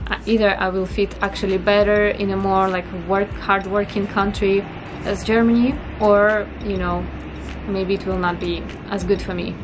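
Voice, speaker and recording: A woman speaks at a moderate pace in a Russian accent. Music plays in the background, and the room echo is audible. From northern Russia. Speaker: vlogger. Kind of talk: casual vlog talk to camera.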